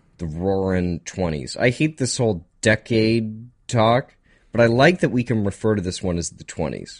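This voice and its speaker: A man talks at a moderate pace in a plain, everyday voice, fairly low in pitch with lively intonation, over a quiet background. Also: big swings in loudness. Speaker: radio host. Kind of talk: casual chat. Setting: studio.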